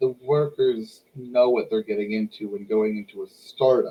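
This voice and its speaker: A somewhat breathy man with an American accent and lively intonation. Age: 20s. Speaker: podcast host. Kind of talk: casual chat. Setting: live stream.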